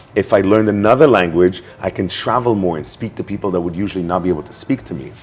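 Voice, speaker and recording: A man talks at a very fast pace in a fairly low pitch while noticeable background noise carries on. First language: not English. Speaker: networking expert and speaker. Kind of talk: interview.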